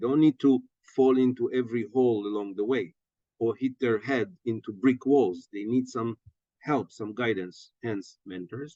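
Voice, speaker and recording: In a dry, close sound with no echo, a man with a dark, mellow tone and medium pitch talks at a moderate pace, with ordinary pitch variation and big swings in loudness. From Israel. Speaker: startup ecosystem leader. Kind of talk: podcast interview. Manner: animated.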